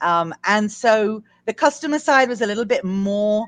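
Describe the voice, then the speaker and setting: A woman speaks in an English accent with lively intonation. The background is quiet, and the sound is dry and close with no echo. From England. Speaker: recruitment business founder. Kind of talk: interview. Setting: live stream.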